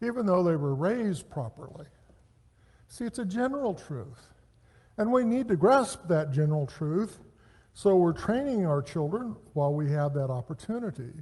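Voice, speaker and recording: A man with a dark, mellow tone speaks at a moderate pace, his high voice moving in very wide pitch swings. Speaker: Bible class teacher. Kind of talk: Bible lecture. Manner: conversational.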